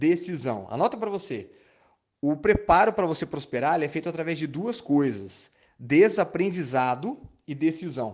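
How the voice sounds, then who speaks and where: Vocal fry runs through an animated tone, delivered at a moderate pace with lively intonation. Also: man. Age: 30s. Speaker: sales and marketing coach. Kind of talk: motivational talk.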